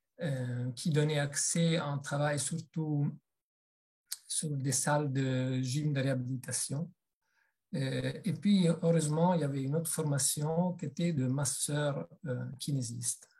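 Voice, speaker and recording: A man with an Italian accent speaks very slowly at a fairly high pitch, his intonation fairly even. His tone is dark, mellow and somewhat breathy. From Italy. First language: Italian (speaking French). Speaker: massage therapist and body psychotherapy trainer. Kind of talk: webinar presentation. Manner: hesitant, many fillers.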